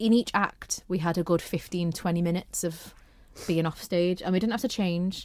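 Recorded very cleanly against a silent background, a woman with a Merseyside accent speaks at a moderate pace in a fairly low voice with fairly even intonation. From northern England, St Helens, Merseyside. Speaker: amateur musical theatre performer. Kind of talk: casual interview chat.

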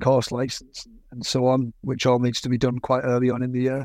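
Speaking at a fairly quick pace with a Teesside accent, a man keeps a monotone, flat intonation on a very clean recording with a silent background. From northeast England (Yarm, near Middlesbrough). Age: 30s. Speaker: motorcycle racer and test rider. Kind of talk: interview. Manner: repeats words, slightly halting.

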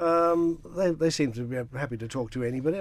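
Lively intonation runs through a man's very fast speech. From Isle of Man. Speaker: newspaper editor and radio co-host. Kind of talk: casual radio interview. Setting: studio.

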